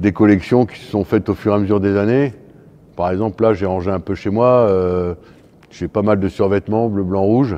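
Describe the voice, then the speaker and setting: A man talks at a fairly quick pace in a fairly low pitch, with fairly even intonation. He leaves long, frequent pauses. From northern France, Lille. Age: 60s. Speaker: fencing coach. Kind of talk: interview. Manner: hesitant, many fillers.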